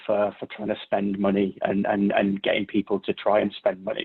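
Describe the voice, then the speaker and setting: A man is speaking. He has a British accent. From Britain. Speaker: cybersecurity consultant. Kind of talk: Q&A session answers. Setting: virtual workshop video call. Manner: halting, many repetitions and fillers.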